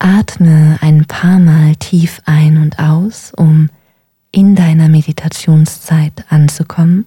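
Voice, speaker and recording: A woman's very deep, low, somewhat breathy voice, dark and mellow, calm and soothing in tone, monotone and flat, at a very slow pace. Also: very even loudness, dry, close sound with no echo. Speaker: meditation guide. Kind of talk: guided meditation. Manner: slow, calm, soothing; gentle, unhurried, with long pauses.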